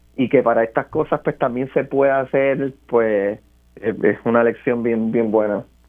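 Using a normal speaking voice, a man at medium pitch speaks at a fairly slow pace with fairly even intonation and very even loudness. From Puerto Rico, Barranquitas. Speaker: scientist and theatre performer. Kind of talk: interview.

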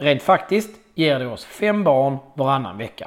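The man's medium-pitched voice moves through very wide pitch swings. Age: 40s. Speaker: podcast host and amateur triathlete. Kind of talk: scripted monologue.

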